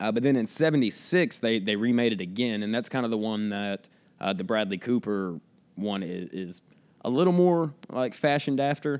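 A man with an American accent speaks in a plain, everyday voice at a medium pitch and moderate pace, his intonation lively. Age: 20s. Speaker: DJ and actor. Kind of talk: casual chat.

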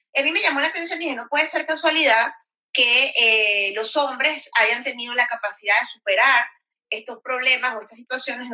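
Speaking at a moderate pace, a woman uses a high voice and lively intonation. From Venezuela. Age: 30s. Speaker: sexologist and women's rights activist. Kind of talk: interview.

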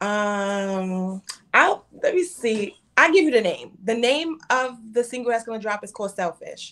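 A woman with a Brooklyn accent speaks at a fairly slow pace and a fairly high pitch. Her pitch swings very widely, and her loudness rises and falls in big swings. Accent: New York (Brooklyn). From Brooklyn, New York. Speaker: rapper. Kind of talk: casual interview.

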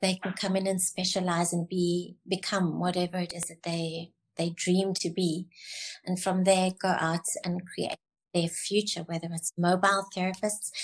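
A woman's somewhat breathy voice at medium pitch, monotone and flat in intonation, at a moderate pace against a quiet background. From South Africa, Cape Town. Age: 70s. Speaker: beauty college founder. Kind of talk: casual interview chat.

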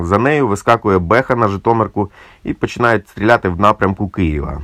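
At a moderate pace, a man with a normal speaking voice talks at a fairly low pitch, the sound dry and close with no echo. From Ukraine, Cherkasy. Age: 40s. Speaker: musician and volunteer soldier. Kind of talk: personal war testimony.

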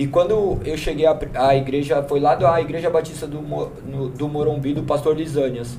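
A man with fairly even intonation, audible room echo and noticeable background noise. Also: fairly high pitch for a man, moderate pace. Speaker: church member. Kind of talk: testimony. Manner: talkative.

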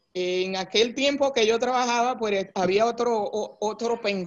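Fairly high for a woman, her voice moves at a very slow pace with fairly even intonation. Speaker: human resources executive. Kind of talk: interview.

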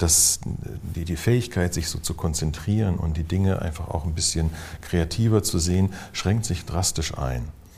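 A man with a very deep, low pitch and ordinary pitch variation speaks at a moderate pace over noticeable background noise. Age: 60s. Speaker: physician and psychotherapist. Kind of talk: interview conversation.

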